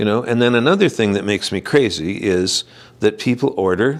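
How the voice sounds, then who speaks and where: In a very clean recording with a silent background, a man with a Canadian accent and an unremarkable speaking voice talks at a moderate pace with ordinary pitch variation. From Saskatchewan, Canada. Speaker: herbalist. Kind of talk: interview answer. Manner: casual, conversational.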